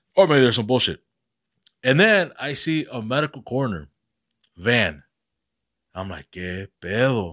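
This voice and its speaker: On a very clean recording with a silent background and a dry, close sound with no echo, a man speaks at a moderate pace and medium pitch with vocal fry, very wide pitch swings, big swings in loudness, and long, frequent pauses. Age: 30s. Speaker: podcast host. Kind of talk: casual chat.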